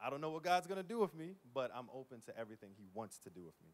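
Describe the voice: Big pitch swings mark a man's medium-pitched voice, delivered at a very fast pace.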